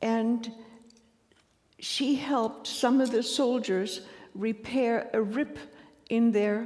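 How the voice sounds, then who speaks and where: A woman's fairly high voice, very slow pace, ordinary pitch variation. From Ukraine. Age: 80s+. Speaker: Holocaust survivor. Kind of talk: testimony. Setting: synagogue ceremony with audience. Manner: halting, with frequent hesitations.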